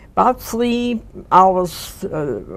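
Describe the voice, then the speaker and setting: Speaking very slowly, a woman with a German accent uses a medium pitch. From Germany, Stuttgart. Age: 80s+. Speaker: war bride, WWII survivor. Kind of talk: oral history interview.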